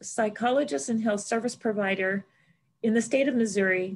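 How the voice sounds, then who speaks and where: At a fairly quick pace, a woman talks in a somewhat breathy voice with fairly even intonation. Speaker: nonprofit president and panel moderator. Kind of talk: moderated panel discussion. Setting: online webinar, video call. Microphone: video call.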